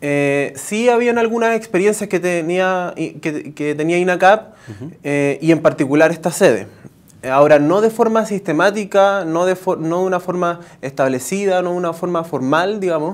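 With ordinary pitch variation, a man uses a high-pitched voice at a moderate pace. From Chile. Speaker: innovation director at a technical university; interviewee. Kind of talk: TV news interview. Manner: halting, many fillers and false starts. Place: studio. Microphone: lapel.

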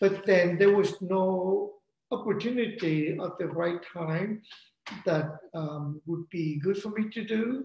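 Male speech, very slow, with audible echo from the room and light background noise. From Vietnam. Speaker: opera composer and librettist. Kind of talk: interview. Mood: calm, reflective. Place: home room. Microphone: video call.

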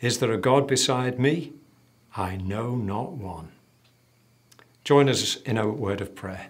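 Against a quiet background, a man is speaking. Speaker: church minister. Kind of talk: scripture reading and prayer. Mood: solemn, measured. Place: studio.

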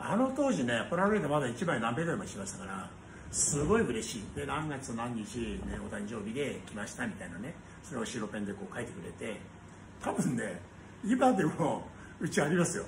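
A man speaks at a moderate pace with very wide pitch swings and big swings in loudness. Noticeable background noise runs underneath. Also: medium pitch for a man. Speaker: restaurant company owner. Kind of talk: casual monologue vlog. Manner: rambling, casual. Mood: cheerful, nostalgic. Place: cafe. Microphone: phone near.

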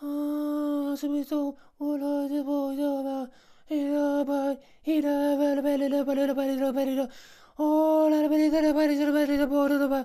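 The speaker uses a put-on character voice at a high pitch. Delivery is at a moderate pace with monotone, flat intonation. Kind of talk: nonsense gibberish comedy voice.

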